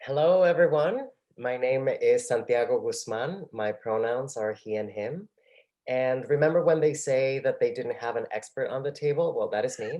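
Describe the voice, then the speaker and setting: The pace of this man's speech is moderate. He talks with a Spanish accent. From Mexico City, Mexico. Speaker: artist, panelist. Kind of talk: panel discussion.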